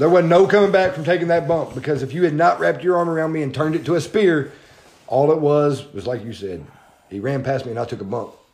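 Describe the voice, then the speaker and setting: With lively intonation, a man speaks at a very fast pace in a fairly high pitch. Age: 30s. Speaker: podcast host and independent wrestler. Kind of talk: casual chat.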